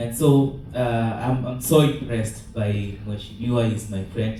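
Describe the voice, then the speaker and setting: A man with medium pitch at a moderate pace, audible room echo and music in the background. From Kenya. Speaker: graduate student and accountant. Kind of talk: audience question. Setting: meeting hall with audience.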